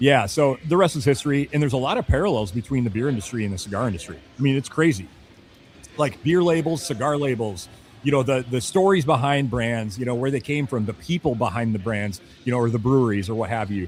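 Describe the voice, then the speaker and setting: Over background music, a man with a medium pitch races along at a very fast pace with lively intonation. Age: 40s. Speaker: cigar accessory company sales rep. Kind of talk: casual podcast chat. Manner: rambling with many fillers.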